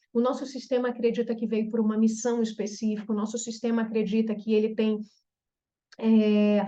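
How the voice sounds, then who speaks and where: A woman speaks at a moderate pace in a dark, mellow, somewhat breathy tone with a fairly high pitch. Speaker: therapist specializing in trauma reprogramming. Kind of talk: online group therapy talk.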